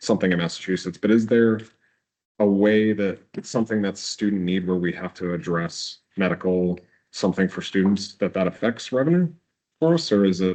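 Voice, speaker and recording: Mumbling at a fairly quick pace, the man has a very deep, low voice. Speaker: board member. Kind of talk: question at public meeting. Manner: halting.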